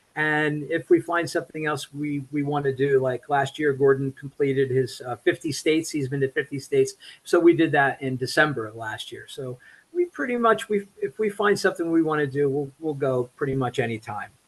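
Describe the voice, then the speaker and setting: The speaker's somewhat breathy voice moves at a fairly quick pace with ordinary pitch variation. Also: man, fairly high pitch for a man. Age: 60s. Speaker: electrician and hiker. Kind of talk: interview.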